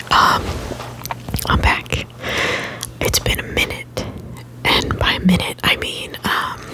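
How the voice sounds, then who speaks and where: A man's whispering at a very slow pace, with long, frequent pauses, over noticeable background noise. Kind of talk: ASMR whisper ramble, casual talk to camera. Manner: quiet, relaxed, casual.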